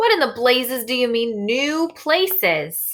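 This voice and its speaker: At a fairly slow pace, a woman uses a high-pitched put-on character voice. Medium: read story. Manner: agitated, shouting.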